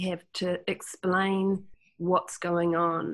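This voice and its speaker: A woman with a New Zealand accent is heard on a very clean recording with a silent background. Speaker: Jungian healer and teacher. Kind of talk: casual chat.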